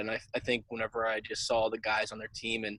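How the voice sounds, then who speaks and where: Speaking at a very fast pace, a man with an American accent has a medium-pitched voice. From central Pennsylvania, US. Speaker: college wrestler. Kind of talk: casual interview.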